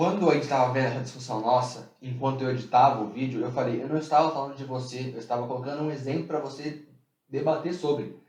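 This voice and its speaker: A man talking very fast, with audible room echo around his voice. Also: medium pitch for a man, ordinary pitch variation. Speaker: podcast co-host. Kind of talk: casual chat.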